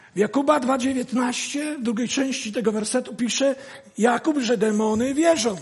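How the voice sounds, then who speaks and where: Against noticeable background noise, a man speaks at an extremely high pitch with ordinary pitch variation. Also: fairly slow pace. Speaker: guest preacher. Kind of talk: sermon.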